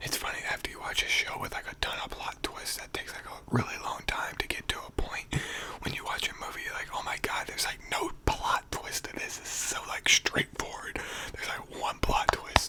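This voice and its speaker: A man whispering at a fairly quick pace over noticeable background noise. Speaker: ASMR YouTuber. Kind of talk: casual talk to camera. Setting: studio, microphone at home. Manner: whispered.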